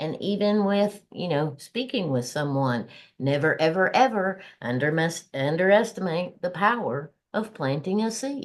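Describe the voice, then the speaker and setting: At a fairly slow pace and with a Southern US accent, the speaker is heard against a quiet background. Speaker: podcast co-host. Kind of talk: casual podcast chat.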